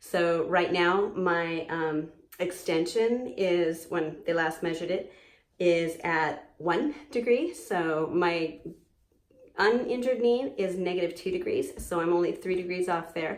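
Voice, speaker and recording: Fairly slow delivery with ordinary pitch variation and audible room echo. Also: woman, fairly low pitch for a woman. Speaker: vlogger recovering from knee surgery. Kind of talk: personal video diary. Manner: halting, many fillers.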